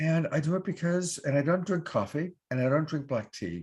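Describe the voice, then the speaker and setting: Somewhat breathy, a man speaks at a moderate pace against a quiet background. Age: 60s. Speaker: online show host and love coach. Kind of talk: sponsor pitch on live online show. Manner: casual, with fillers.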